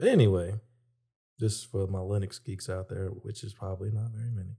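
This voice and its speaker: On a very clean recording with a silent background, a man talks at a moderate pace in a fairly low, somewhat breathy voice with a dark, mellow tone and fairly even intonation. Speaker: podcast co-host. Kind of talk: casual chat.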